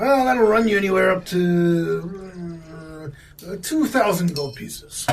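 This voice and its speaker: Clear background noise sits behind a put-on character voice. It moves at a fairly slow pace with lively intonation. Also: man, high pitch for a man. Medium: actual play. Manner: jovial, folksy.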